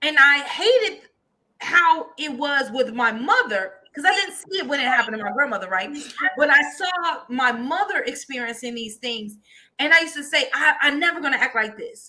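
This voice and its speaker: Animated and raised in a projected voice, a woman speaks in a high pitch with very wide pitch swings. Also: moderate pace, big swings in loudness. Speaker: co-host, prophetess. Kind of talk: casual chat. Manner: loud.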